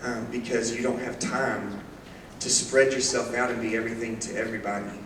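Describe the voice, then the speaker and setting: Noticeable background noise and audible room echo surround this recording. A man speaks at a medium pitch and a fairly quick pace, in a monotone with flat intonation. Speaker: youth minister. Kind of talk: church presentation. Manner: fast.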